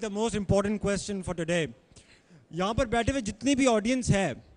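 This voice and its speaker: At a fairly slow pace, a high-pitched man talks with ordinary pitch variation. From Pakistan. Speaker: moderator. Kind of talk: question and answer session. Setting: audience event. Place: hall. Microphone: handheld.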